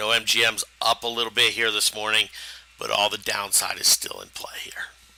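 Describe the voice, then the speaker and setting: Over noticeable background noise, a man talks at a fairly quick pace. His loudness swings widely. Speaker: stock trading educator. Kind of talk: live trading webinar. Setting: live stream.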